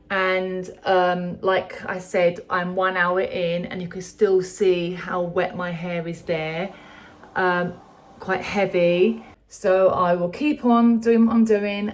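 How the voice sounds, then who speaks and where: A woman at medium pitch speaks very slowly with fairly even intonation over noticeable background noise. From London. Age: 50s. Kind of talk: casual talk to camera.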